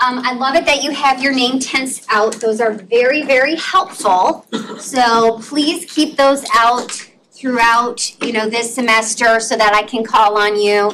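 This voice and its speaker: Speaking at a fairly slow pace, a woman with a high-pitched voice talks with an American accent. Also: ordinary pitch variation. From Wisconsin, US Upper Midwest. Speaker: professor. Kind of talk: lecture. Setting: classroom.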